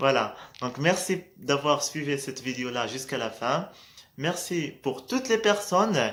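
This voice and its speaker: A man with a Moroccan accent, fairly slow in pace, with ordinary pitch variation. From Morocco. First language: Moroccan Arabic (speaking French). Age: 20s. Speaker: vlogger. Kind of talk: casual motivational vlog. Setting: at night, in low light. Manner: hesitant, many fillers.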